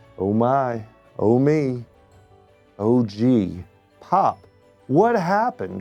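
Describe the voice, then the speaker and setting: With music in the background, a man at a medium pitch talks at a very slow pace, leaving long, frequent pauses. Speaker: community member reading a children's book. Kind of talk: children's bedtime story reading.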